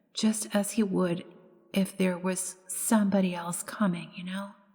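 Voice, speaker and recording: Fairly even intonation in an American accent at a fairly slow pace, with noticeable background noise. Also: woman. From United States. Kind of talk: ghost story reading. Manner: straight reading, characters voiced slightly differently.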